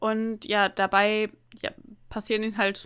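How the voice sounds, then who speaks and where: A woman with a fairly high pitch speaks in an unremarkable speaking voice with fairly even intonation. The recording is very clean with a silent background. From northern Germany, near the Emsland. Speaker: podcast co-host. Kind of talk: casual chat.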